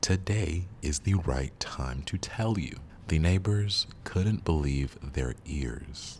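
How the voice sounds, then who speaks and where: The speaker is soft-spoken. Words come at a very slow pace. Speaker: storyteller. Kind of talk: reading aloud. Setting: studio.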